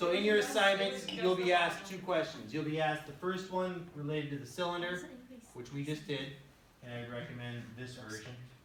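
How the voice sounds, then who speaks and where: There is audible room echo and noticeable background noise as a man speaks. He talks at a fairly quick pace with lively intonation. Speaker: high school math teacher. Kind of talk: classroom lecture.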